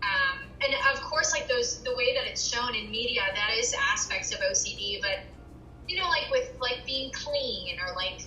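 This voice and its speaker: Someone with an American accent speaks at a moderate pace amid audible room echo. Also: woman. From US, Virginia. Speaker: interviewee sharing mental health experience. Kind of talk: interview. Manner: casual, many fillers.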